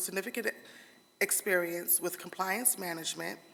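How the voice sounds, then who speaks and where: A woman's bright, sharp voice at a medium pitch. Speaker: board candidate at a legislative interview. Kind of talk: prepared opening statement. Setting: hearing room in a state capitol. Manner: halting, with frequent restarts.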